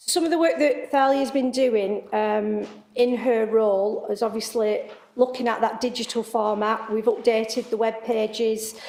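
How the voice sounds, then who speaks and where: With audible room echo, a woman in a northern English accent speaks at a moderate pace, fairly high in pitch, with a dark, mellow tone and fairly even intonation. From northern England, Wigan. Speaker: local council service head. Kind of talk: committee meeting report. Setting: council committee meeting. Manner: hesitant, many fillers.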